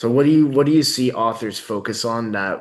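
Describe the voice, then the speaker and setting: Fairly quickly and with ordinary pitch variation, a man talks. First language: French. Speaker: workshop host. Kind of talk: casual interview.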